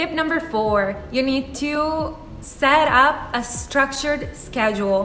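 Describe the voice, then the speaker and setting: In an Italian accent, a woman projects her high-pitched voice at a very slow pace, with audible room echo and noticeable background noise. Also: ordinary pitch variation. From Italy. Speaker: YouTuber, life and career advice. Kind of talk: vlog advice talk.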